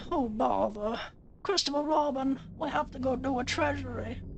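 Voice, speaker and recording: Someone does a put-on character voice at a moderate pace over clear background noise. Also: female-sounding voice. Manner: gentle, mild, dithering.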